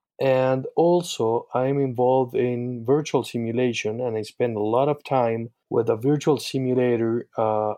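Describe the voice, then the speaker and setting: In a Spanish accent, a man talks at a fairly slow pace with fairly even intonation and hardly any pauses. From Uruguay. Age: 30s. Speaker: eye surgeon and educator. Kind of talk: casual interview. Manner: halting, many fillers.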